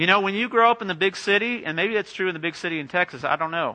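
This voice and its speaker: Someone with an American accent speaks in a raised, projected voice at a very fast pace, the tone bright and sharp. Pitch varies in an ordinary way against a quiet background. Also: man. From Southern California, LA area. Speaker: pastor. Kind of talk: sermon.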